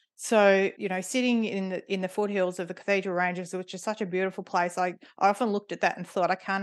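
Fairly low in pitch, a woman speaks quickly enough, at a fairly quick pace, with an Australian accent. Her intonation is fairly even, and the background is quiet. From Melbourne, Australia. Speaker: board director and governance consultant. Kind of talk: interview.

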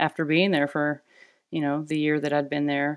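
Very deep, low pitch from a woman with an American accent. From Arkansas, US South. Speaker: naturopathic doctor and acupuncturist. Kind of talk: interview. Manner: hesitant, many fillers.

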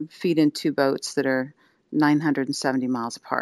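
On a very clean recording with a silent background, a woman with an American accent speaks fairly quickly at a very deep, low pitch, the sound dry and close with no echo. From US Mid-Atlantic (Wilmington, Delaware). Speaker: singer-songwriter and music teacher. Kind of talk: interview.

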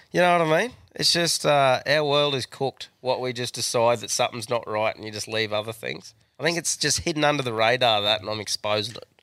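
A fairly high-pitched man with an Australian accent, very wide pitch swings and a fairly quick pace. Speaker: podcast co-host. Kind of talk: casual chat. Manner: crude, animated.

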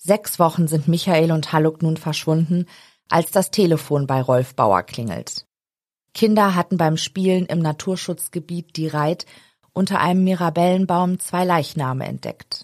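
An unremarkable speaking voice from a woman, fairly low in pitch with ordinary variation, at a fairly slow pace, in a very clean, dry, close recording with no echo and a silent background. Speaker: true crime podcast host. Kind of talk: true-crime narration, read from script. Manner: serious, measured, even storytelling pace.

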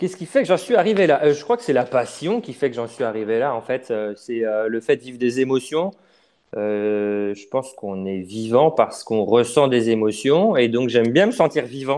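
Over a quiet background, a man with a dark, mellow tone and medium pitch speaks at a moderate pace, with lively intonation and big swings in loudness. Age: 30s. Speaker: adventurer and travel writer. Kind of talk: interview.

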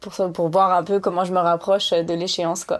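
The recording is very clean with a silent background as a woman speaks at a medium pitch. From Lyon, France. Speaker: trail runner and lawyer. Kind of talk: casual interview. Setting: at home.

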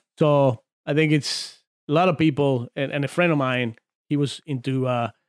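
A man with a Spanish accent talks at a moderate pace in a fairly high pitch, his intonation fairly even and the sound dry and close with no echo. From Argentina, San Juan. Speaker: former arm wrestler. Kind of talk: casual chat. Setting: studio.

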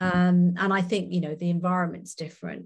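A woman speaks with a Welsh accent at a fairly quick pace. Her voice is fairly low in pitch and somewhat breathy. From Wales. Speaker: company board director. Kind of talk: interview.

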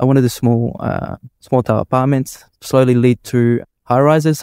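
With an Australian accent, a man speaks at a medium pitch in a dark, mellow tone, recorded dry and close with no echo, very clean against a silent background. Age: 30s. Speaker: electrical contractor and property developer. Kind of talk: casual interview. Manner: halting, many fillers.

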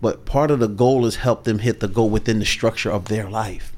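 This man has an ordinary speaking voice at medium pitch. He talks at a fairly quick pace. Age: 50s. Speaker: sales coach. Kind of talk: podcast interview.

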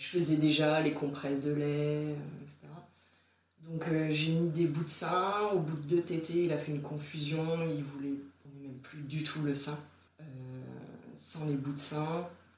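Over noticeable background noise and audible room echo, a woman with a very deep, low pitch speaks at a fairly slow pace in monotone, flat intonation, with long, frequent pauses and big swings in loudness. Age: 30s. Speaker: breastfeeding mother sharing her experience. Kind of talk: casual interview testimony. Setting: recorded at the host's home.

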